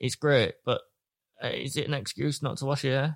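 Here a man speaks with a British accent. His pitch is fairly high. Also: very clean recording, silent background. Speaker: podcast co-host. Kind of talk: casual chat.

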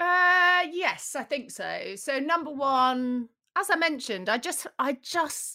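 The recording is very clean, with a silent background. The voice has a British accent and a bright, sharp tone. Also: woman. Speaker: magazine editor. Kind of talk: casual interview chat.

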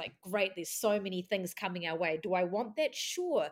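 A woman talks at a moderate pace with lively intonation in an unremarkable speaking voice. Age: 40s. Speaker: spiritual practitioner. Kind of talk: casual chat.

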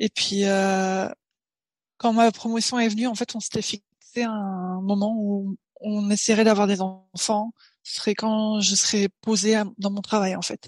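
Her voice sits at a medium pitch, and she speaks very slowly. The woman's intonation is monotone and flat. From Paris, France. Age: 20s. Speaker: software engineer and new mother. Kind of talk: casual interview chat. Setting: remote recording.

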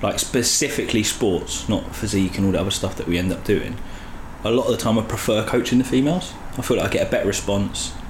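Talking very fast over noticeable background noise, a man uses a medium pitch with ordinary variation. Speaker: personal trainer. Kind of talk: casual chat.

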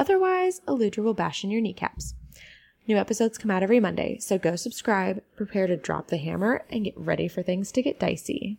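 Woman in a put-on character voice, raspy, medium-pitched, at a fairly quick pace. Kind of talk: polite telephone voice. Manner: polite and professional.

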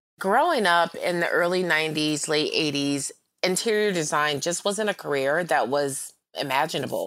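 Speaking in an American accent, a woman has a plain, everyday voice with a fairly low pitch, ordinary pitch variation and a moderate pace. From US East (rural North Carolina, then Philadelphia). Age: 40s. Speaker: interior designer. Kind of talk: interview, reflective conversation.

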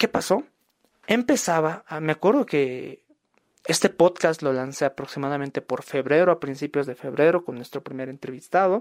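Recorded dry and close with no echo, a man with a normal speaking voice and a fairly high pitch talks at a moderate pace with ordinary pitch variation. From Bolivia. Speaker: podcast host. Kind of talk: podcast monologue and interview.

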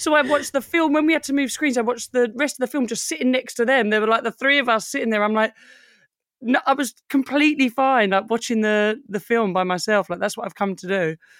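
A woman with a British accent speaks at a very fast pace and a fairly high pitch, with ordinary pitch variation, in a dry, close sound with no echo on a very clean recording with a silent background. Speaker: fashion brand owner. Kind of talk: casual chat.

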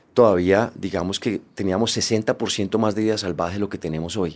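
Speech from a man, captured in a very clean recording against a silent background. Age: 50s. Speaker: podcast host. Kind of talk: interview conversation.

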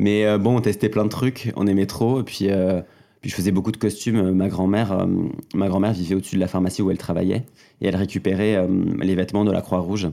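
In a very clean recording with a silent background, a man speaks at a fairly quick pace with a fairly low pitch, a dark, mellow tone, very even loudness and fairly even intonation. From southwestern France (Gers, near Toulouse). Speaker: drag performer. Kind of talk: interview conversation.

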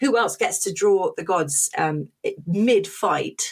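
A somewhat breathy woman with a southern English accent. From London, England. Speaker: teacher and comic artist. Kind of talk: interview conversation. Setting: remote call.

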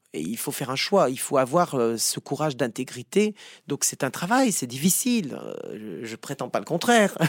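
Speaking at a moderate pace, a man's fairly high voice has very wide pitch swings and big swings in loudness. The recording is very clean with a silent background, dry and close with no echo. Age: 50s. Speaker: psychotherapist. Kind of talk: interview.

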